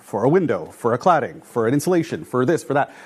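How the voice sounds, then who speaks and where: With a Canadian accent and lively intonation, a speaker talks fairly quickly over noticeable background noise. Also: man. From Canada, Toronto. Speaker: building enclosure engineer. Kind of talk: lecture. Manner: casual, many fillers.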